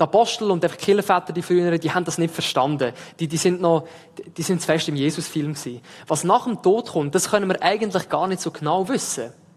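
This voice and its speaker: With an Aargau accent, a man speaks in a high voice with ordinary pitch variation. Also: fairly quick pace. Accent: Aargau Swiss. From Switzerland, Aargau. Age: 20s. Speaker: theology student preaching as intern. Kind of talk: sermon. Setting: church service with livestream.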